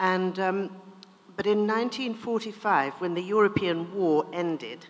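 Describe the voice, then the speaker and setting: Speaking at a fairly slow pace with a British accent, a woman keeps a medium pitch and ordinary pitch variation. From India then England. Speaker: author. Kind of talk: interview; reading aloud.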